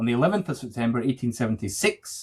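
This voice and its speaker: A man with a Scottish accent talks at a fairly quick pace with a medium pitch. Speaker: podcast host. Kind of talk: true crime podcast narration and chat. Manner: loud, can't whisper.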